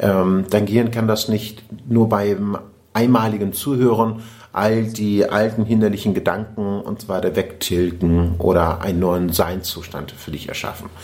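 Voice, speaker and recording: In a plain, everyday voice, a man with fairly low pitch speaks at a fairly slow pace with fairly even intonation. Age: 40s. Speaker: podcast host and personal development coach. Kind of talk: casual interview conversation.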